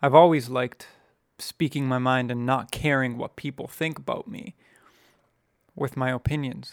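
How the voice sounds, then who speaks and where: In a very clean recording with a silent background, a man speaks at a moderate pace with a medium pitch and ordinary pitch variation. His loudness swings widely, and he leaves long, frequent pauses. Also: dry, close sound with no echo. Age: 20s. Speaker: podcast co-host. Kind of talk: casual chat.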